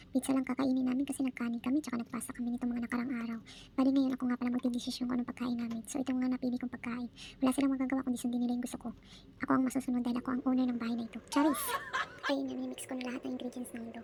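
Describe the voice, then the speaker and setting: A woman's very fast, dark, mellow delivery, high-pitched yet monotone and flat. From Philippines. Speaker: domestic worker vlogger. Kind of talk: vlog narration. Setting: indoors, hiding in cold area.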